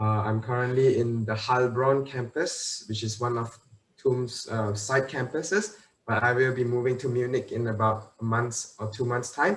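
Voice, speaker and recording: A man speaks at a medium pitch and moderate pace, somewhat breathy, with ordinary pitch variation. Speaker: university student, school alumnus. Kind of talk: online panel Q&A.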